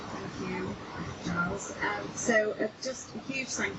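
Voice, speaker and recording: A woman with a Manchester accent talks at a moderate pace with lively intonation over noticeable background noise. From Manchester, northern England. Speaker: river campaign group organiser. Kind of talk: public speech. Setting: outdoors by a river.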